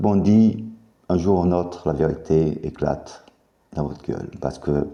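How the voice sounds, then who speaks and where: A man speaks at a very slow pace in a very deep, low voice with a dark, mellow tone. His pitch varies in an ordinary way. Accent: American. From US South, Mississippi. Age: 50s. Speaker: YouTuber making claims about secret affairs. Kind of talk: monologue to camera. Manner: halting.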